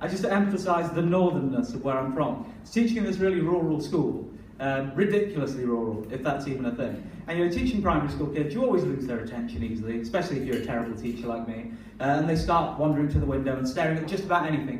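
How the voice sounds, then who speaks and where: Speaking very fast with lively intonation and a fairly high pitch, a man is heard through noticeable background noise and audible room echo. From northern England. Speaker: performance poet. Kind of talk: poetry performance; stand-up style banter. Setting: stage with audience.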